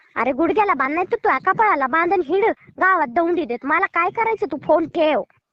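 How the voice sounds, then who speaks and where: In an animated tone, a woman with an extremely high pitch speaks with lively intonation. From Maharashtra, Barshi (Solapur district). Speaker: prank call target, YouTuber. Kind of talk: angry phone argument. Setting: phone call. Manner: animated, scolding.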